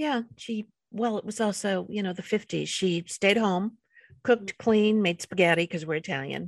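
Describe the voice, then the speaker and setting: In an American accent, a woman talks at a moderate pace with an unremarkable speaking voice and ordinary pitch variation. The sound is dry and close, with no echo. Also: medium pitch for a woman. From New York, the Bronx. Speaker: podcast host. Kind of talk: casual interview. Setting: video call.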